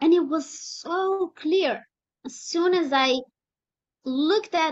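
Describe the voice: Speaking slowly, a woman talks with a non-native accent.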